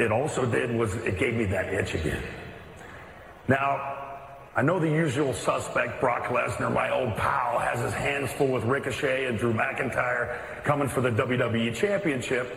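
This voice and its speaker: Noticeable background noise surrounds a man who speaks at a moderate pace with very even loudness. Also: medium pitch for a man, ordinary pitch variation. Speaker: wrestling radio co-host. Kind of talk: casual chat. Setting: studio. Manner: relaxed, conversational.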